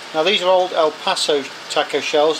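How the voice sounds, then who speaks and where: Noticeable background noise runs beneath speech that moves fairly slowly. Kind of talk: casual cooking tutorial. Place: kitchen. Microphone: phone near.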